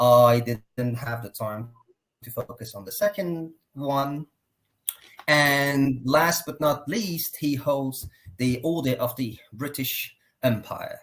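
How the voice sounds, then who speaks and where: Speaking very slowly with a Persian accent, a man uses a fairly high voice, ordinary pitch variation and big swings in loudness. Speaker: consultant and program host. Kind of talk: live online interview. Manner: formal.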